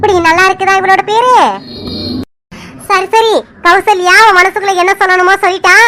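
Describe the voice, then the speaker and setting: A woman's cartoonish character voice, extremely high in pitch, at a moderate pace. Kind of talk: folksy village storytelling. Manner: chatty, warm, conversational.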